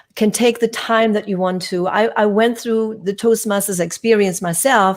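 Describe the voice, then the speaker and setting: This is a woman speaking. She has a German accent. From Germany (Hamburg). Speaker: communication coach and actor. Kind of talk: casual interview. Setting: live stream.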